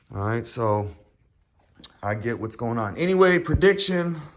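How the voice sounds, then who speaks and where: Mumbling from a man. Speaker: car enthusiast vlogger. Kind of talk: casual vlog talk. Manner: rambling with many fillers.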